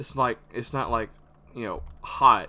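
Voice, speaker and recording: There is vocal fry in this man's bright, sharp tone as he speaks at a fairly slow pace. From US South. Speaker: gaming YouTuber. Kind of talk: casual gameplay commentary. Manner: halting, stuttering with repetitions.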